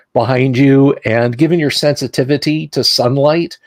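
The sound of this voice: It is an unforced reading voice with fairly even intonation.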